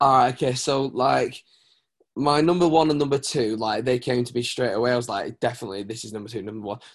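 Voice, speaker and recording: Over a quiet background, a man with a British accent talks at a very fast pace. His pitch is medium, with ordinary variation. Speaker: worship pastor. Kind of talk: casual chat. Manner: animated.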